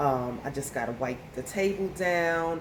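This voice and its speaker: A woman is speaking. There is audible room echo. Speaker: home cleaning vlogger. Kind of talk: casual vlog narration.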